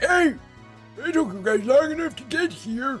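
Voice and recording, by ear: Faint music plays in the background as someone speaks at a moderate pace in a put-on character voice.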